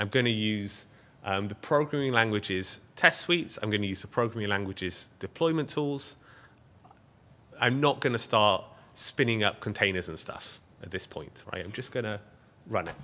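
A man with an English accent, a fairly low pitch, and a bright, sharp tone, speaking at a moderate pace with lively intonation, big swings in loudness, and long, frequent pauses. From Britain. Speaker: software engineer, project lead. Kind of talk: live coding conference talk. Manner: casual, joking. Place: meeting room.

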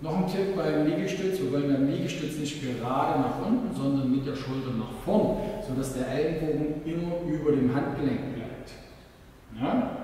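A man speaks at a moderate pace with ordinary pitch variation. Strong room echo and light background noise are present. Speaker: fitness trainer. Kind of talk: tutorial. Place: gym.

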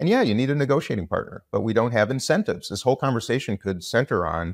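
Talking at a very fast pace with lively intonation, a man is recorded dry with no echo against a quiet background. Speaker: politician guest. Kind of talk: interview answer. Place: home room.

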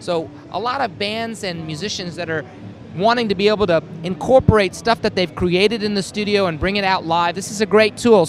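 A man's high-pitched voice at a fairly quick pace, with ordinary pitch variation, a dry sound with no echo, and light background noise. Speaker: product demonstrator. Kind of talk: product demo explanation. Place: hall. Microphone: handheld.

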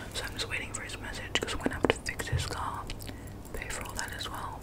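A woman is whispering. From Australia. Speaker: ASMR creator. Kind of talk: casual talk to camera. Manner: whispered, chatty. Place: home room. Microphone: studio mic.

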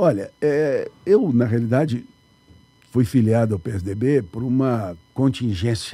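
A man's somewhat breathy voice has a dark, mellow tone and a dry sound with no echo. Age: 70s. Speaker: municipal finance secretary; guest. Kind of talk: radio interview. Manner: halting. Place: studio. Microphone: studio mic.

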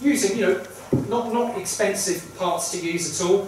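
The speech moves at a moderate pace. Strong room echo fills the recording, over light background noise. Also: man. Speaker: event host. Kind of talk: public announcement to audience. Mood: warm, festive welcome. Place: hall.

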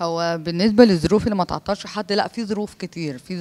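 This woman talks at a very fast pace with ordinary pitch variation. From Egypt. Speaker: PE teacher and master's graduate raised in an orphanage; interviewee. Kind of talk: interview testimony. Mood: warm, grateful. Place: home room. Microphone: handheld.

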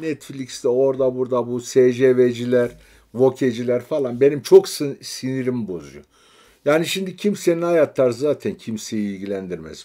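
With a dark, mellow tone and lively intonation, a man speaks at a medium pitch and a fairly slow pace on a very clean recording with a silent background. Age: 50s. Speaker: gaming streamer. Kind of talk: casual chat. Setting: live stream.

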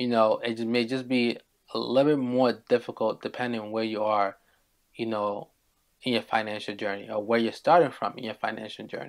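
With fairly even intonation, a man speaks at a fairly quick pace over a quiet background. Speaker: show host. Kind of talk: talking-head commentary. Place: home room.

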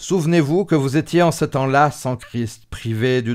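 The background is quiet as a man speaks at a fairly slow pace. His pitch is fairly high, with ordinary variation. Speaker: religious show host. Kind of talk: bible study discussion. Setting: studio. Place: studio. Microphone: studio mic.

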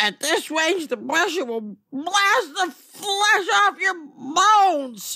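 Very slowly, a man performs a put-on character voice at an extremely high pitch. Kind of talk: comic drag character voice. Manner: indignant, then menacing.

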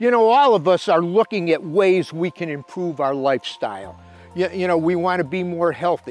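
A man's high-pitched voice with ordinary pitch variation, dry with no echo, over faint background music. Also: moderate pace. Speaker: fishing show host and inspirational speaker. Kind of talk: inspirational sermon-style talk to camera. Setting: shot indoors in his library with books around him. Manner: conversational, earnest, with frequent filler words. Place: garden.

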